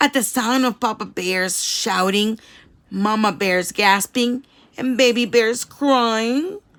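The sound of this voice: The speaker uses an unforced reading voice. Pitch variation is ordinary.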